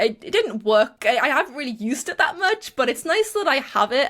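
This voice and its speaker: Speaking in a Geordie accent, a woman has a high pitch with very wide swings. She talks at a fairly quick pace. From northern England, Newcastle (Geordie). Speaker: YouTuber and small business owner. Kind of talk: interview. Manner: hesitant, many fillers.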